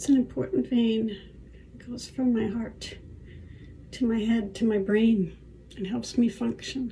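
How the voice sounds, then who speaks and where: A woman with a fairly high, somewhat breathy voice and a dark, mellow tone speaks at a fairly slow pace, with ordinary pitch variation, big swings in loudness, and long, frequent pauses. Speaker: artist and author with chronic illness. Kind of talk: personal video diary while applying makeup. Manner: hesitant, with fillers.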